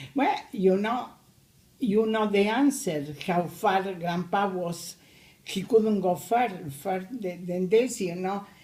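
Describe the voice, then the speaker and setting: Speaking at a very slow pace, a woman with a Spanish accent uses a medium pitch. Her pitch varies in an ordinary way, and audible room echo is present. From Argentina. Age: 80s+. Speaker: immigrant grandmother. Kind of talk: family interview. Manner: halting.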